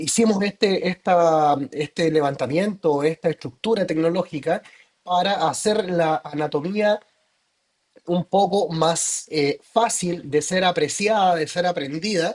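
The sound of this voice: A man speaks at a fairly slow pace in a fairly high voice, with ordinary pitch variation. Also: slightly mellow tone.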